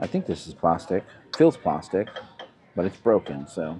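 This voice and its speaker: With music behind him, a man talks loudly with ordinary pitch variation. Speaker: thrift reseller vlogger. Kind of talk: casual vlog narration while shopping. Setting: inside a thrift store. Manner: louder outdoor voice.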